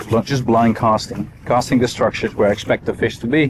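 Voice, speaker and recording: The speech moves at a fairly quick pace with very even loudness. Noticeable background noise runs underneath. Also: man. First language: not English. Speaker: fishing guide and video creator. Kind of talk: on-the-water vlog tutorial. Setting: outdoors on a boat on a lake. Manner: casual, conversational.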